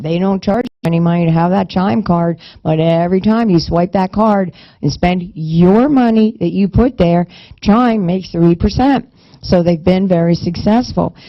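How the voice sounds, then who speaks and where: An unremarkable speaking voice from a woman, medium in pitch, with ordinary pitch variation, very even loudness and a moderate pace. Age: 50s. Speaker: minister promoting a fundraising payment card. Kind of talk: sales pitch. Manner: talkative, run-on sentences with false starts.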